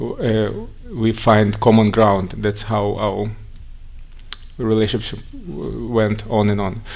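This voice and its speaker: A man with a Russian accent speaks very slowly in a fairly low, flat monotone. Audible echo fills the room around him. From Russia, Siberia. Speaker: organization representative speaking on immigration to Israel. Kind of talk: conference talk.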